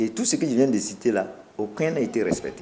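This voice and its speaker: There is light background noise as a man speaks at a moderate pace, his medium-pitched voice dark and mellow in tone. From Burkina Faso. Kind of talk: interview statement. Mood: firm, complaining. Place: office.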